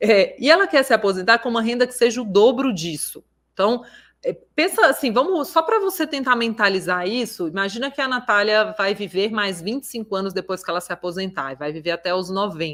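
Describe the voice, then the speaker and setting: With lively intonation and a fairly high pitch, a woman talks at a fairly quick pace in an unremarkable speaking voice. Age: 30s. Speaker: financial educator. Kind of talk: online class. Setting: livestream.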